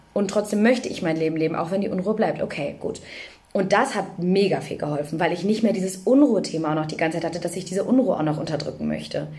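A woman at a medium pitch with ordinary pitch variation, in audible room echo. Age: 20s. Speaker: social worker and mother with OCD. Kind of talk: personal testimony in interview.

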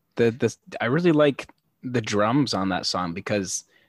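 The sound is dry and close, with no echo. The recording is very clean against a silent background. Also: man. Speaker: courier delivering COVID tests for on-set nurses. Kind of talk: casual chat.

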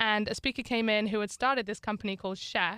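A woman at medium pitch speaks fairly quickly in a bright, sharp tone, recorded very clean and dry, close, with no echo and a silent background. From northern England. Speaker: student athlete. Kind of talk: interview.

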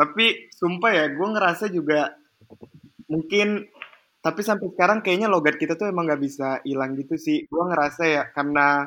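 A man talks at a moderate pace with a Palembang accent. His pitch is high and his tone is bright and sharp. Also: ordinary pitch variation. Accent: Palembang accent in Indonesian. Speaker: university student. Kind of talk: casual chat.

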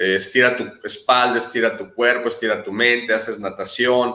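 A man's tone is bright and sharp, at medium pitch. He speaks with monotone, flat intonation. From Mexico, Jalisco. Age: 30s. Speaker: adventure tourism business owner. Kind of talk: interview.

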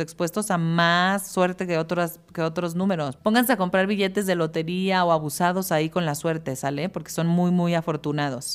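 A woman's fairly low voice, an unremarkable speaking voice with ordinary pitch variation, at a moderate pace, on a very clean recording with a silent background. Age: 30s. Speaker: podcast host. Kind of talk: casual monologue.

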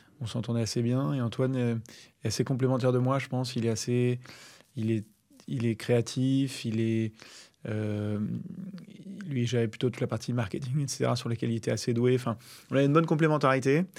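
A man speaks at medium pitch with ordinary pitch variation. His pace is fairly quick, broken by long, frequent pauses. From Paris region, France. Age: 30s. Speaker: startup founder. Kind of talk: interview. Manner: hesitant, many fillers.

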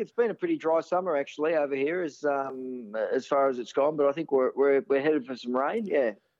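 A man with an Australian accent and a fairly high voice, fast-ish and lively in his intonation, with hardly any pauses. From Sydney, Australia. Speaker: former first-class cricketer. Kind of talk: interview.

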